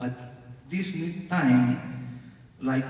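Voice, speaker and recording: Speech at a very slow pace comes through audible room echo and noticeable background noise. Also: man. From Catalonia, Spain (Barcelona). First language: Catalan or Spanish. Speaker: panelist, hospital health promotion expert. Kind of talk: conference panel comment. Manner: halting, with hesitations.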